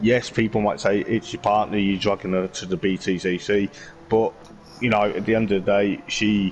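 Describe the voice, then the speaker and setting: A man with a West Midlands accent talks at a moderate pace in a fairly low pitch. His intonation stays fairly even, and music plays in the background. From West Midlands, England. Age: 30s. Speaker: motorsport vlogger and sim racing driver. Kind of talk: casual interview chat.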